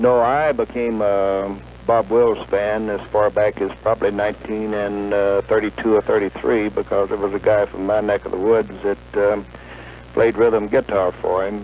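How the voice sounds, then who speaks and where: Against noticeable background noise, a man with a fairly low pitch speaks at a moderate pace using lively intonation. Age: 60s. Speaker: caller, navy veteran. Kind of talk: phone-in call to talk radio. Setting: phone call.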